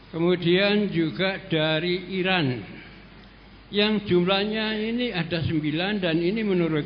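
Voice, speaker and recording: A man's high-pitched voice at a fairly slow pace, with ordinary pitch variation and audible room echo. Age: 70s. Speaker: audience member asking a question. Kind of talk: question at a religious study session. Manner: halting.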